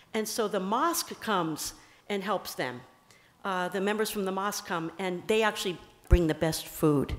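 A woman with a New Jersey accent, speaking with long, frequent pauses. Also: ordinary pitch variation. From US Northeast, New Jersey. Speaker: bishop. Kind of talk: talk to a church audience. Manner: fast. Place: church. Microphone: podium.

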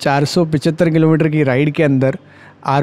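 A man's fairly slow, fairly even-toned delivery. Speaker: motorcycle vlogger. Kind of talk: casual vlog chat. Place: motorbike. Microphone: helmet.

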